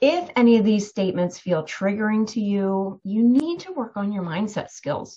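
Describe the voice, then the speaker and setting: A woman's somewhat breathy, medium-pitched voice with lively intonation. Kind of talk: guided meditation.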